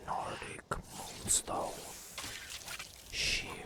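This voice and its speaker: A man whispering amid noticeable background noise. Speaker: ASMR artist. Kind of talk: ASMR gameplay narration. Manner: soft-spoken, whispered.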